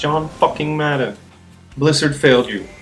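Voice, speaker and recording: At a very fast pace, a man with a non-native accent speaks at a fairly high pitch over music in the background. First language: not English. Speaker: gamer, guide maker. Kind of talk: game tutorial voiceover.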